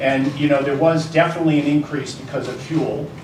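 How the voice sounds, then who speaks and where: Noticeable background noise and audible room echo surround this man. His pitch is medium and his pace fairly quick. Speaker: energy industry panelist. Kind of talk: panel discussion. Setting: luncheon event with audience. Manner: loud.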